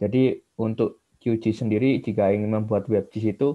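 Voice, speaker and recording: Against a quiet background, a man with a normal speaking voice and fairly low pitch talks at a moderate pace with fairly even intonation. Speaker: student participant asking question. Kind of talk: question in webinar Q&A. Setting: video call. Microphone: video call.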